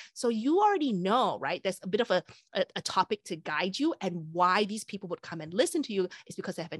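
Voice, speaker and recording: A woman's medium-pitched voice at a fairly quick pace, lively in intonation, dry and close with no echo, over a quiet background. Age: 40s. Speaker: author and presentation trainer. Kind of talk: interview.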